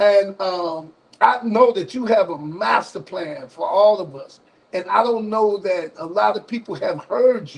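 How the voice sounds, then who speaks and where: Speaking in an Alabama accent, a man uses a high pitch and lively intonation, with big swings in loudness. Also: fairly slow pace. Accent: Southern US (Alabama). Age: 60s. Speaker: radio call-in show host. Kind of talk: live call-in broadcast.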